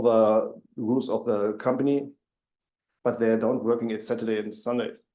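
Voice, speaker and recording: A man with a German accent, medium pitch, moderate pace, monotone, flat intonation and a dark, mellow tone. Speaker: panelist. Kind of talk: panel discussion.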